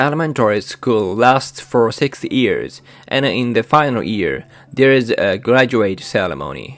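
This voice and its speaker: A man with a Japanese accent speaks at a fairly slow pace, his medium-pitched voice showing vocal fry and ordinary pitch variation. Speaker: YouTuber sharing cultural experiences. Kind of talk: scripted narration.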